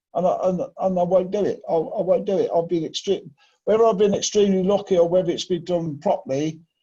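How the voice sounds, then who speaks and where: Talking at a very fast pace, a man with a high pitch and a dark, mellow tone keeps his intonation fairly even. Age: 60s. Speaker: lifting and plant machinery trainer. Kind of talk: training session discussion. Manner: emphatic.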